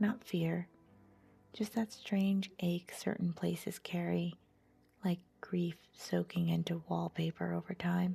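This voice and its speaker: Music plays in the background. A soft-spoken woman talks in a calm tone. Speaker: storyteller. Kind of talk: sleep story. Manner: soft-spoken, calm.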